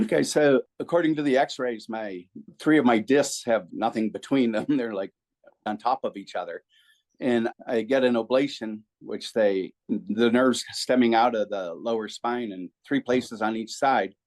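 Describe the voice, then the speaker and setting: Recorded dry and close with no echo, a man speaks in a normal speaking voice at medium pitch with ordinary pitch variation. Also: moderate pace. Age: 60s. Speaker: patient, BMX racer and preacher. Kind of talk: interview.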